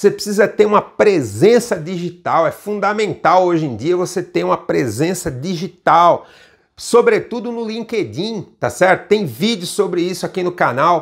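Against a quiet background, a man with a high voice speaks at a moderate pace with lively intonation. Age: 50s. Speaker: international trade instructor and channel host; international trade instructor, channel host. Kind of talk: video lesson. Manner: casual, frequent 'tá?' tags. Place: office. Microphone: lapel.

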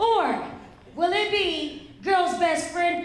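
In a put-on character voice, a woman speaks very slowly at an extremely high pitch, with strong room echo around her. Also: ordinary pitch variation.

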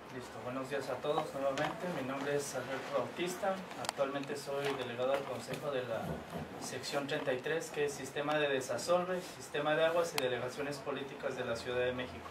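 A man's fairly high-pitched voice at a fairly quick pace, with fairly even intonation and noticeable background noise. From Uruguay. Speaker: trade union representative. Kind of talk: interview. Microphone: camera far.

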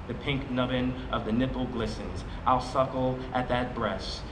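A man's flat, monotone delivery at a moderate pace, over noticeable background noise. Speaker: poet reading his selected poems; poet. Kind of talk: poetry reading at a live event, reading poems aloud. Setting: outdoor plaza event with audience. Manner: measured, expressive and rhythmic, with dramatic pauses and a shift in intensity. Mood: calm, measured, solemn. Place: street. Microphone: podium.

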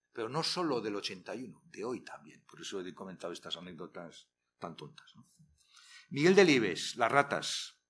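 A man speaks at a fairly slow pace, his pitch swinging very widely and his loudness rising and falling a great deal. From Spain, Castile. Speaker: retired literature professor. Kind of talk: workshop lecture. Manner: animated. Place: hall. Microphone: podium.

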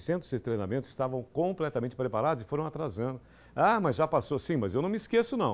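A man's voice with very wide pitch swings. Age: 50s. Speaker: TV news host. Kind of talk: studio commentary on TV news. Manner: animated. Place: studio. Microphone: lapel.

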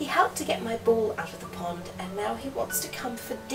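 Intonation is lively throughout an unforced reading voice.

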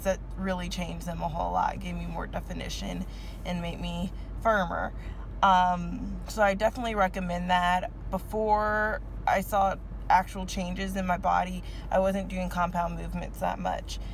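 A woman talks at a moderate pace. The sound is dry with no echo, and there is light background noise. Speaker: fitness vlogger. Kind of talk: casual vlog chat. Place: car. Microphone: phone near.

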